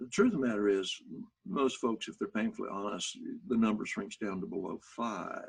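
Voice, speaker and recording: A man speaks with an Arkansas accent. His pace is moderate. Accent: Southern US (Arkansas). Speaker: motivational speaker. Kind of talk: workshop talk.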